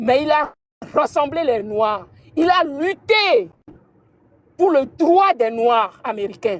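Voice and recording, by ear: A woman speaks at a slow pace in a high voice with lively intonation.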